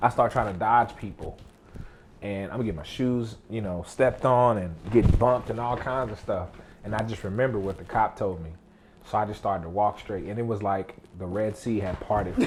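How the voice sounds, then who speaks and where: A man with a fairly low pitch and an American accent, at a fairly quick pace with ordinary pitch variation. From Texas. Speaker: cousin guest on a family dinner show. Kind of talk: casual chat.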